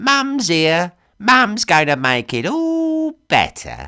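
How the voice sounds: A man uses a put-on character voice in a raspy falsetto, high for a man and delivered slowly. His pitch swings very widely. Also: bright, sharp tone, very clean recording, silent background.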